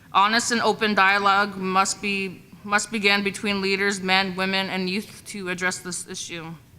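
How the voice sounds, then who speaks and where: There is noticeable background noise and hardly any pauses. A woman at medium pitch speaks in a monotone, flat intonation. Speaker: women's council presenter. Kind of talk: reading aloud a report. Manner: fast.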